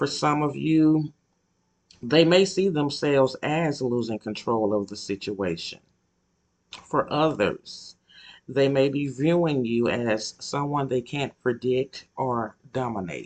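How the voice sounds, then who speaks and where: At a very slow pace, a man speaks with a medium pitch. His pitch variation is ordinary. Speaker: tarot reader. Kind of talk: tarot reading. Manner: halting.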